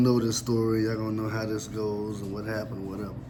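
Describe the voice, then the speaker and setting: A man at a medium pitch talking very fast, with audible room echo and noticeable background noise. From Louisville, Kentucky. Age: 40s. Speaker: storyteller, YouTuber. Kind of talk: casual storytelling monologue.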